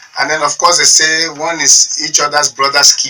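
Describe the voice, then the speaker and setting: A man speaking at a moderate pace, fairly high in pitch, over noticeable background noise. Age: 60s. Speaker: politician. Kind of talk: talk radio interview.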